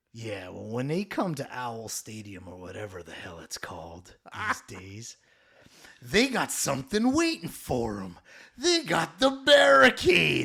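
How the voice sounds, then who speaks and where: Using a put-on character voice at a medium pitch, a man speaks at a fairly slow pace with big swings in loudness. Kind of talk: wrestling promo. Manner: loud, aggressive, boastful.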